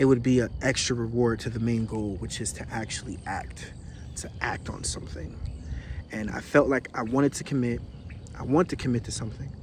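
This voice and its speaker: In a plain, everyday voice, a man talks at a fairly quick pace in a medium pitch, with ordinary pitch variation and big swings in loudness. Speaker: vlogger. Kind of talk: personal video diary.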